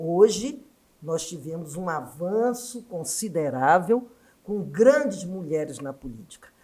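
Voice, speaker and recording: Speaking at a very slow pace, a woman with a dark, mellow tone and fairly low pitch makes very wide pitch swings and big swings in loudness. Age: 70s. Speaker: education scholar and former union activist. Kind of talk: podcast interview.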